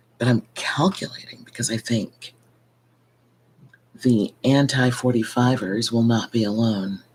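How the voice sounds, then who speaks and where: A soft-spoken woman with a very deep, low pitch, a fairly slow pace and long, frequent pauses. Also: ordinary pitch variation. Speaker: vlogger. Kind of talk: casual monologue vlog. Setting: at home at night. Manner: soft-spoken, keeping voice low.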